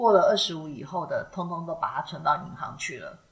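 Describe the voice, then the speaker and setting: Noticeable background noise fills the recording. A woman speaks at a fairly quick pace. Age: 40s. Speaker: podcast co-host. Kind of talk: casual chat.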